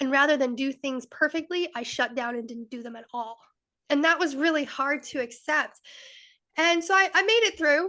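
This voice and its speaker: Raised and projected, a woman's high, bright, sharp voice with an American accent moves through lively intonation and big swings in loudness. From Rhode Island, US. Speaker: wellness and mindset coach, podcast co-host. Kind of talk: interview, personal story. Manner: fast.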